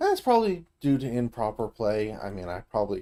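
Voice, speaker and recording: Here a man speaks with an American accent. His voice sits at a medium pitch with a dark, mellow tone. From US South. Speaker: video game streamer. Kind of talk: gameplay commentary. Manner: casual, conversational.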